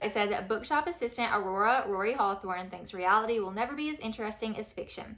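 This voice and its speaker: Over noticeable background noise, a woman with a fairly high pitch speaks at a very fast pace in an animated tone with lively intonation. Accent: Southern US. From US South. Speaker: book vlogger. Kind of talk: casual chat.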